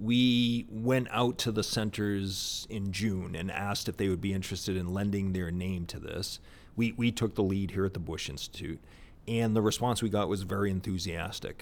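This man has an ordinary speaking voice, fairly low in pitch, with an American accent, a moderate pace and fairly even intonation. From US Northeast (Boston area). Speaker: think tank executive director. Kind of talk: interview conversation. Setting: on location at presidential center.

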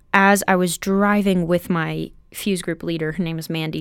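A fairly low-pitched woman's voice with monotone, flat intonation on a very clean recording with a silent background. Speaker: college student. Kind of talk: casual chat.

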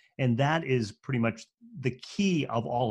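Ordinary pitch variation in a man's voice set at a medium pitch. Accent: slight New England. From New England. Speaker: speaking and storytelling coach. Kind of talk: interview. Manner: fairly quick pace.

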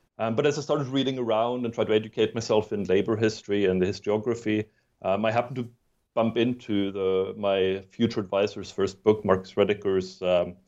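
Against a quiet background, a man speaks at a fairly quick pace and fairly low pitch with fairly even intonation. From southwest Germany, born in Sweden. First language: Swedish. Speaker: history professor and author. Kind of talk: interview. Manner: halting, with many fillers and repeated words.

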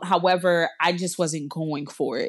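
An unremarkable speaking voice with an American accent and fairly even intonation. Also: woman, quiet background. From US South, South Florida (Miramar). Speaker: storyteller sharing personal story. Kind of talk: personal testimony.

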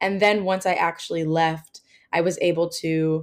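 A woman with an American accent and an unremarkable speaking voice, fairly low in pitch, with fairly even intonation. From New Jersey. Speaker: travel podcaster and former English teacher. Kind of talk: interview.

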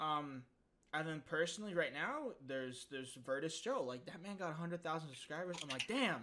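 An unremarkable speaking voice from a man, fairly high in pitch, at a fairly quick pace. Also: lively intonation. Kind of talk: casual chat.

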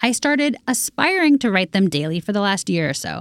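At a fairly quick pace, a woman with an unremarkable speaking voice talks at a medium pitch in a very clean recording with a silent background. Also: dry, close sound with no echo. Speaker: podcast producer. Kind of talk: casual chat.

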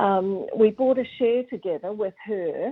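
In a southern New Zealand accent, a woman speaks at a fairly slow pace. Her pitch is fairly high and her intonation fairly even. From New Zealand, Southland (Gore). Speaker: racehorse breeder. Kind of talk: interview.

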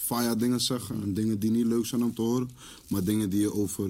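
A man speaks in a plain, everyday voice, fairly low in pitch and fairly quick, with fairly even intonation. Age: 20s. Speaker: rapper. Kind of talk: casual chat.

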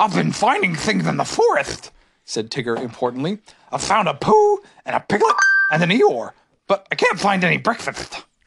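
At a moderate pace, the voice is a put-on character. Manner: cheerful, bouncy, boastful.

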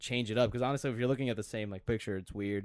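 A man with an American accent talks at a very fast pace with fairly even intonation. The recording is very clean, with a silent background. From Minnesota, Glencoe. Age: 20s. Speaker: portrait photographer. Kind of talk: casual chat.

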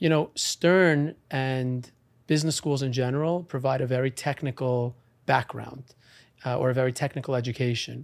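A man with an American accent speaks at a medium pitch and moderate pace, with fairly even intonation. His is an unremarkable speaking voice, heard in a very clean recording over a silent background. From New York, Long Island. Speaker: real estate auctioneer and attorney. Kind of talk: interview.

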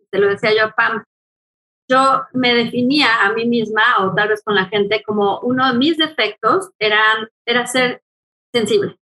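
Her tone is bright and sharp, and this woman's pitch is fairly high with ordinary variation. She speaks at a moderate pace. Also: very even loudness. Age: 40s. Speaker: angel channeler and therapist. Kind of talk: casual interview.

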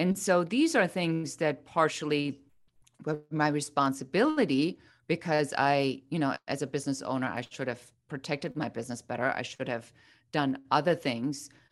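A woman speaks in a German accent at a very deep, low pitch. Her pace is moderate and her pitch varies in an ordinary way over a quiet background. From Germany. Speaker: business coach. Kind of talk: interview.

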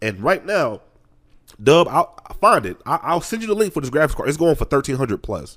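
A man's fairly quick, fairly high voice with vocal fry and very wide pitch swings. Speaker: podcast co-host. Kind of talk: casual chat.

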